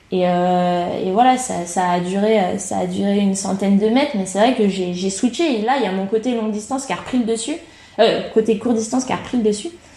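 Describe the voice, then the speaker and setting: A woman is speaking with ordinary pitch variation. Noticeable background noise runs behind her. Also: medium pitch for a woman, fairly quick pace. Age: 30s. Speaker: triathlete and coach. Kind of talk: casual interview.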